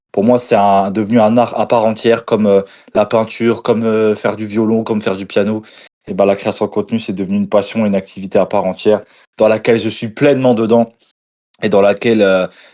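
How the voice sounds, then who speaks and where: A man at a fairly quick pace, dark and mellow in tone, flat and monotone, before a quiet background. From eastern France, Moselle (Lorraine). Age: 20s. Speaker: food content creator. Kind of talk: casual interview chat.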